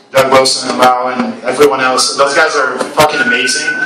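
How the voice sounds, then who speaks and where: There is audible room echo and noticeable background noise while a man talks at a fairly quick pace. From Brazil. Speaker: game designer. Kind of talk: talk at event. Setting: live event with audience. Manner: casual, hesitant with many fillers.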